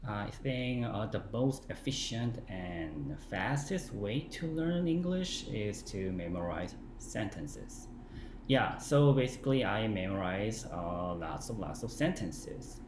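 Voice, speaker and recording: A man with a Korean accent, medium pitch, a somewhat breathy voice, very wide pitch swings and a very slow pace, in a room with audible echo. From South Korea. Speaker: English learning vlogger. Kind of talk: casual talk to camera. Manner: halting, many fillers.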